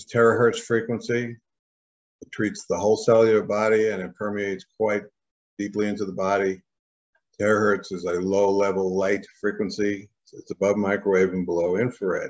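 Over a quiet background, a man speaks at a fairly quick pace with a fairly low pitch and monotone, flat intonation. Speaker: presenter. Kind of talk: product explanation. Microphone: webcam.

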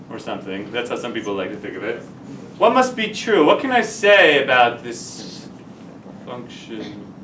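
A man with an American accent, big swings in loudness, audible room echo and light background noise. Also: moderate pace. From New Jersey. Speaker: math teacher. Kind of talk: lecture. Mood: relaxed, chatty anecdote. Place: classroom.

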